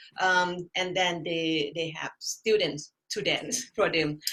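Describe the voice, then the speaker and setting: Speaking at a fairly slow pace, a woman with a Thai accent has a bright, sharp tone. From Thailand. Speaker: artist and art instructor. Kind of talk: interview. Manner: halting.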